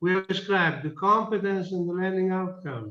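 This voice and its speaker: A man with a non-native accent talks at a moderate pace in a high voice. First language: not English. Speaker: project partner in meeting. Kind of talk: online project meeting debate.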